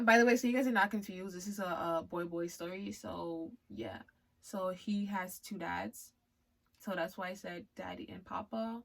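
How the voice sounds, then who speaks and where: A woman with a Liberian accent speaks at medium pitch and a moderate pace, her intonation lively. Her loudness swings widely. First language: Liberian English. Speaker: YouTuber and amateur writer. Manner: casual.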